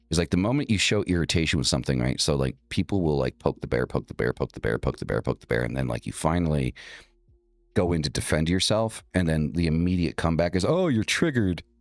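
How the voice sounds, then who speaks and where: Against background music, a man with an American accent talks at a very fast pace in a very deep, low pitch with lively intonation, the sound dry and close with no echo. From rural northeastern US. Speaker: occult livestream host. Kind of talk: casual monologue.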